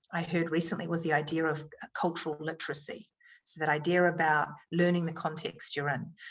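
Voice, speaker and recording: A woman with a New Zealand accent speaks with a fairly low pitch and fairly even intonation. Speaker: education leader. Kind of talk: podcast interview answer.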